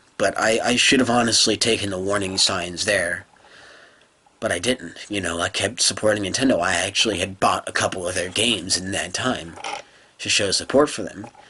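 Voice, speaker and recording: A man's moderately paced words, with ordinary pitch variation, come through noticeable background noise. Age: 20s. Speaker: gaming video creator. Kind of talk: casual monologue rant. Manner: halting.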